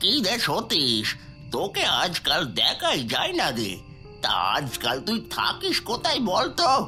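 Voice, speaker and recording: Over clear music in the background, a man performs a cartoonish character voice at a moderate pace. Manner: folksy, repetitive phrasing.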